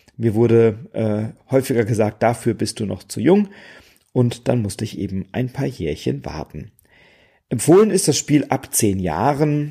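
A man's medium-pitched voice with a dark, mellow tone and vocal fry, relaxed and lively in intonation at a fairly slow pace, on a very clean recording with a silent background. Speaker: board game podcaster. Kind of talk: solo podcast monologue.

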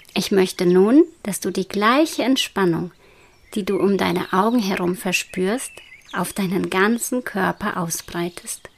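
A woman with a plain, everyday voice talks at a fairly slow pace, her medium pitch showing ordinary variation. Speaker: meditation guide. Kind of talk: guided meditation. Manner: slow, soothing and hypnotic; soft-spoken, calm, with long pauses.

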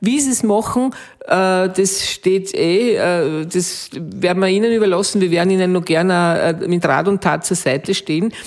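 At a moderate pace and very even loudness, a woman speaks in a medium pitch. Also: ordinary pitch variation. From Austria, Waldviertel (Lower Austria). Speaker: innkeeper. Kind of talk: interview. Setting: restaurant. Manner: hesitant fillers.

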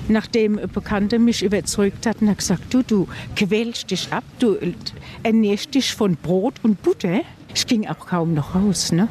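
Speaking at a fairly slow pace, a woman uses a medium pitch with ordinary pitch variation against noticeable background noise. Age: old. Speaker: food bank client, pensioner. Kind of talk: interview.

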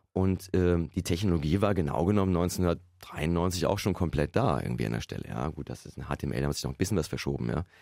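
Over a very clean recording with a silent background, a man with a very deep, low pitch and a dark, mellow tone talks at a fairly quick pace with lively intonation and vocal fry. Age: 50s. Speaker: computer science professor. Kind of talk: interview. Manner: conversational, frequent fillers.

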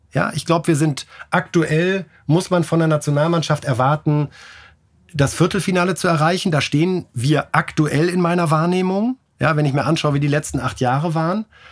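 In a very clean recording with a silent background, a man with an ordinary speaking voice talks at a moderate pace, his pitch fairly high, his intonation fairly even and his loudness very even. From northern Germany (Bremen). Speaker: sports journalist, newspaper sports editor. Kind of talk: interview.

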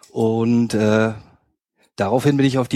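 A medium-pitched man's voice with fairly even intonation and a slight Bremen accent. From northern Germany, Hamburg outskirts. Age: 30s. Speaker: fan project social worker. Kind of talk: casual chat. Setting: studio.

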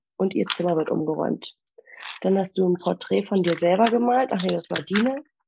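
At a moderate pace, a woman speaks in a medium-pitched voice with a dark, mellow tone, ordinary pitch variation, and vocal fry. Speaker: old school friend standing in as co-host. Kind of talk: casual chat; reading aloud an old diary.

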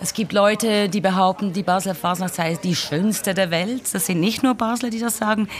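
Music plays in the background as a woman speaks at a moderate pace with hardly any pauses and fairly even intonation. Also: medium pitch for a woman. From Switzerland, Basel. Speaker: podcast host. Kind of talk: interview. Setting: café.

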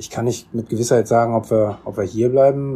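At a very fast pace, a man speaks at a medium pitch with a dark, mellow tone, somewhat breathy and with fairly even intonation. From Germany, Bonn. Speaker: second-generation Korean German interviewee. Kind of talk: interview. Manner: hesitant, many fillers.

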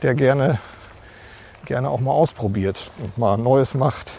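The speaker talks at a fairly slow pace with ordinary pitch variation. Noticeable background noise runs underneath. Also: man. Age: 50s. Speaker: church administration head. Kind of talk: interview.

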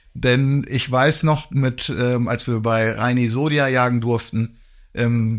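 This man has an ordinary speaking voice at a medium pitch with fairly even intonation. The recording is very clean, with a silent background. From northern Germany. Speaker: hunting podcast co-host. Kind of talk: casual chat.

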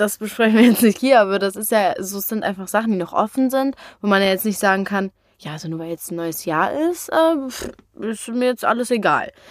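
With a normal speaking voice at medium pitch, a woman talks at a fairly quick pace, her intonation lively and her loudness swinging widely. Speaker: podcast co-host, daughter. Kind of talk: casual chat.

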